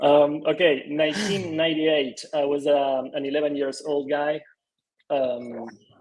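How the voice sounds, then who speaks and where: Fairly slow delivery with an Argentine accent and fairly even intonation. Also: man, fairly high pitch for a man. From Argentina. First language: Spanish. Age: 30s. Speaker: design studio co-founder. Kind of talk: interview.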